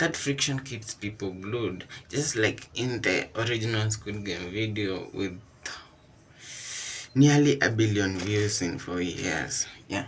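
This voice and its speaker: The speaker has a non-native accent and a somewhat breathy voice. The pace is very slow, with ordinary pitch variation. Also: man, fairly low pitch for a man. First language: not English. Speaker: vlogger job hunting. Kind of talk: casual vlog commentary. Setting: kitchen.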